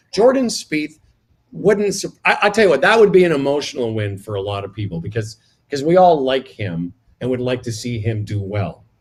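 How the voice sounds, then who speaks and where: Somewhat breathy, a man talks at a moderate pace and medium pitch. His pitch swings very widely, and the background is quiet. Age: 60s. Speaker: radio broadcaster. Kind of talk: casual chat.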